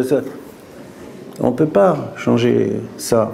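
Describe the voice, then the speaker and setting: A man talks with lively intonation over noticeable background noise. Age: 60s. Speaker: restaurant owner. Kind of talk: interview. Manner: halting, with repetitions.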